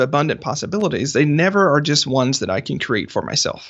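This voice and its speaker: A man with a plain, everyday voice, fairly high in pitch, at a fairly quick pace with lively intonation. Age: 30s. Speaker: author and business strategist. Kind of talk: interview.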